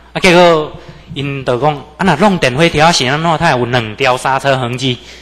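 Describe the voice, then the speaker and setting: Pitch moves in an ordinary way at a moderate pace. Background noise is noticeable. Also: man. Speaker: religious lecturer. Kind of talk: religious lecture with personal testimony. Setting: temple lecture hall with audience.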